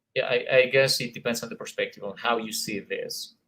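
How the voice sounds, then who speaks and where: A man speaks with a Colombian accent at a medium pitch. His tone is bright and sharp. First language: Spanish. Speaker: English teacher, conference presenter. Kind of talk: conference presentation. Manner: hesitant with many fillers.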